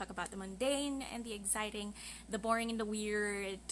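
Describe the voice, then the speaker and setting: A woman speaks with a Filipino accent. Her pace is moderate. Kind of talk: casual podcast live stream talk.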